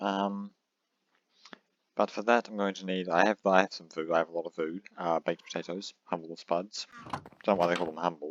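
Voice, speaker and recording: A man with a very deep, low pitch speaks quietly at a fairly quick pace in a monotone, flat way, with long, frequent pauses and a dry, close sound free of echo. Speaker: gaming YouTuber. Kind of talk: casual gameplay commentary. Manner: hesitant, many fillers.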